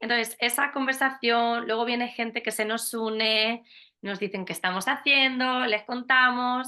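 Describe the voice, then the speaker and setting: Speaking at a fairly slow pace is a woman. Her pitch sits fairly high. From Spain, Albacete. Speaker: teacher, children's tour guide. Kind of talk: casual interview chat. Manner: animated.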